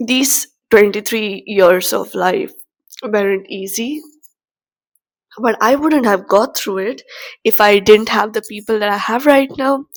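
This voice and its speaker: Fairly high in pitch, a woman's voice carries ordinary pitch variation. She speaks at a fairly slow pace with long, frequent pauses. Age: 20s. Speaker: vlogger. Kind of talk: personal reflection to camera. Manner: halting.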